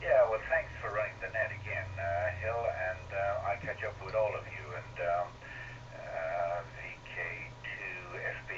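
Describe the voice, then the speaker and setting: There is audible room echo around a man's voice. Behind him, background noise is noticeable. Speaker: amateur radio operator. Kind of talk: casual chat. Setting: radio net over repeater. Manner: halting.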